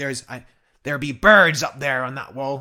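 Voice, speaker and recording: Putting on a raspy character voice at a medium pitch, a man talks at a moderate pace with ordinary pitch variation and big swings in loudness. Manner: exaggerated, pirate-like.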